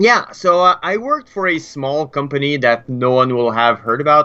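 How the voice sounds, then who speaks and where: A man speaks in a French Canadian accent with a bright, sharp tone. His pitch varies in an ordinary way. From Quebec. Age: 30s. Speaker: game developer. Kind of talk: interview. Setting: live stream.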